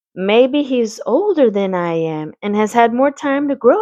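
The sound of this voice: An unforced reading voice carries the text with lively intonation.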